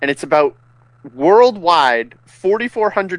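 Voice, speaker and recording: The recording of this man sounds dry and close, with no echo. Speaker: podcast co-host. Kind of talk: casual banter.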